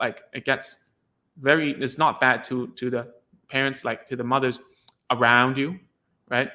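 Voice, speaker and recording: A man's bright, sharp, medium-pitched voice, monotone and flat, at a moderate pace with long, frequent pauses. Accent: Cantonese. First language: Cantonese. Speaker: speech therapist. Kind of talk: live stream talk to parents. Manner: halting, many repeated words.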